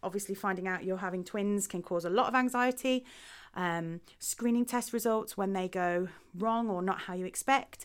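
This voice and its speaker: A woman with an English Midlands accent speaks at a moderate pace and medium pitch in a very clean recording with a silent background. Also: ordinary pitch variation. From Midlands, England. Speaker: podcast host. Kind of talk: podcast introduction monologue.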